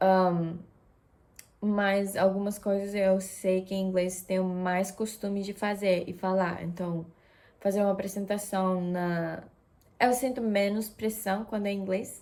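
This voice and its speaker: At a fairly slow pace, a woman speaks in a dark, mellow tone at medium pitch, her intonation monotone and flat. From Japan. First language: Japanese, Russian and Spanish (speaking Portuguese). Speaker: vlogger. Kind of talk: casual vlog talk. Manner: hesitant, many fillers.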